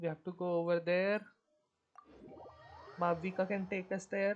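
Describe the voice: A woman speaks with a fairly low pitch and little pitch movement. Her pace is fairly slow.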